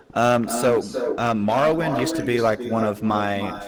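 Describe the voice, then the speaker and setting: In a bored tone, a man talks at a medium pitch and moderate pace, with audible room echo and noticeable background noise. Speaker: YouTuber and streamer. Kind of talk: Q&A interview. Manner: monotone; flat, sounds bored.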